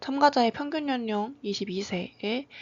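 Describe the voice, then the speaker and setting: Somewhat breathy, this woman's speech moves with lively intonation. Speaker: graduate student researcher. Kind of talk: academic presentation. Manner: formal; halting.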